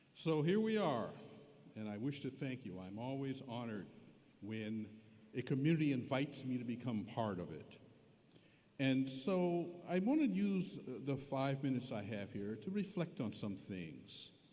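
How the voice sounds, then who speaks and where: Audible room echo surrounds a man speaking at a moderate pace. His medium pitch moves in very wide swings. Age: 70s. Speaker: honorary degree recipient, scientist. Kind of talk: commencement speech. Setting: arena stage with audience.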